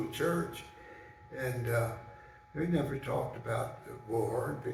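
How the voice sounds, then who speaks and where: There is noticeable background noise behind a man with a medium-pitched voice. He talks at a fairly slow pace with ordinary pitch variation. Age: 80s+. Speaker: Air Force veteran. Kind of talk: personal recollection talk. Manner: hesitant, with many fillers.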